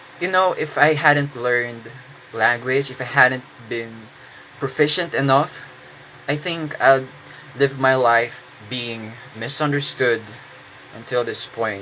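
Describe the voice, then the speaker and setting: A man with a Filipino accent speaks at medium pitch with ordinary pitch variation. He leaves long, frequent pauses, with noticeable background noise behind him. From Philippines. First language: Tagalog. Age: 20s. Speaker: English teacher. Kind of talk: casual monologue. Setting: indoors, own room. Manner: halting, many fillers.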